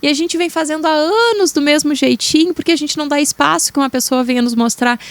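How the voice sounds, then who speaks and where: A woman with a southern Brazilian accent, lively intonation, and a fairly quick pace, in a dry, close sound with no echo. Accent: gaúcho (southern Brazilian). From Rio Grande do Sul, Brazil. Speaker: therapist. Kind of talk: podcast interview.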